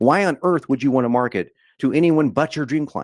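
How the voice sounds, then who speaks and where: A man with a fairly high pitch talks at a fairly quick pace in an animated tone, the sound dry and close with no echo. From Texas, rural Dallas area. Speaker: online marketing coach. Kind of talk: sales webinar presentation. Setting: live webinar.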